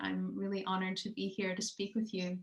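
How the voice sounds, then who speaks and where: In an American accent, a woman speaks at medium pitch, somewhat breathy, with ordinary pitch variation. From US Midwest, Chicago suburb. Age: 30s. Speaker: theatre director. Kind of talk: interview conversation. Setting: video call.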